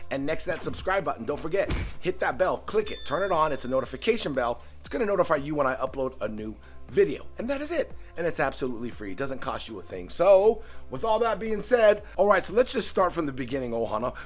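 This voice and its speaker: A man rattles off his words at a very fast pace while music plays faintly behind him. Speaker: aquarium hobby vlogger. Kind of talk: casual vlog chat. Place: home room. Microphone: phone near.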